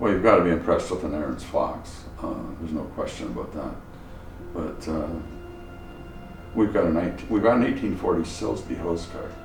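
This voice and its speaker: Over music in the background and audible room echo, a man talks at a fairly quick pace broken by long, frequent pauses. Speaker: antique fire truck collector. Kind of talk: interview.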